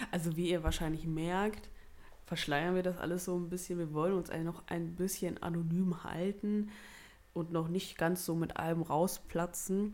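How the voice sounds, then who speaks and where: This woman's voice is fairly low, with monotone, flat intonation. She speaks at a moderate pace. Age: 20s. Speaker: podcast co-host. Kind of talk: casual chat.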